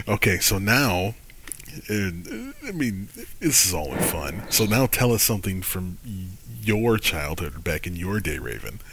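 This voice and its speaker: A man with an American accent talks at a fairly slow pace in a fairly low pitch. His intonation is lively, and noticeable background noise is present. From Michigan. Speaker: podcast host. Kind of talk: casual podcast chat.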